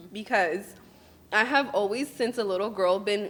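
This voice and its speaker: A Spanish accent on a very clean recording with a silent background. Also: woman. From California, Mexican American. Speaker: beauty business owner and coach, podcast host. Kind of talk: casual interview chat.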